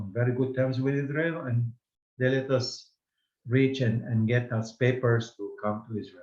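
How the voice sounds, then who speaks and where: A man's medium-pitched, somewhat breathy voice at a moderate pace, with fairly even intonation. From Baghdad, Iraq. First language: Judeo-Arabic. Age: 70s. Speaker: language teacher. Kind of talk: lecture. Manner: halting.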